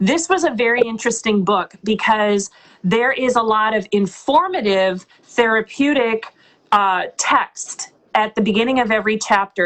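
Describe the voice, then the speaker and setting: A woman talks at a moderate pace in an ordinary speaking voice, with ordinary pitch variation. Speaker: audiobook narrator. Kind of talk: interview answer. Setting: live video call.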